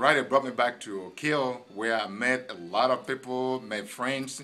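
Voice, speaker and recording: The voice has a bright, sharp tone and moves at a moderate pace. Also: man. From Nigeria. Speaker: pharmacist. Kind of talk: casual interview. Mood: warm, cheerful. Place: shop. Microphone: phone near.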